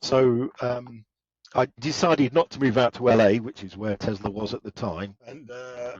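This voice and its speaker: A man talks in a British accent. His pitch variation is ordinary. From England. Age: old. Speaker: automotive engineer. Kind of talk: interview.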